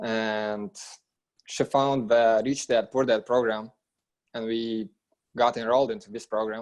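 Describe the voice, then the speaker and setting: A man with a non-native accent, flat monotone delivery, and long, frequent pauses. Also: medium pitch for a man, fairly slow pace. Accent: foreign. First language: not English. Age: 20s. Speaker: real estate investor, trucking business owner. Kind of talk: interview.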